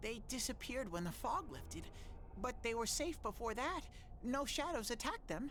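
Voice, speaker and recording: A put-on character voice runs at a moderate pace. Clear background noise sits behind it. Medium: video game. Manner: earnest, naive.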